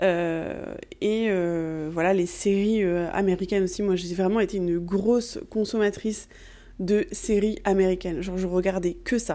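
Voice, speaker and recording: A dark, mellow tone at a fairly slow pace with fairly even intonation, in a very clean recording with a silent background. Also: woman, medium pitch for a woman. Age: 20s. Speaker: podcast host, Ayurveda practitioner. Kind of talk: personal monologue. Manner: hesitant, many fillers.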